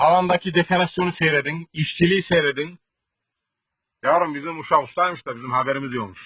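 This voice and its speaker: A man with a Central Anatolian accent speaks at a moderate pace in a bright, sharp tone and fairly high pitch, with ordinary pitch variation. His loudness swings widely, with long, frequent pauses, in a dry, close sound with no echo. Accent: Kırşehir Turkish dialect. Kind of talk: comedic village tour to camera.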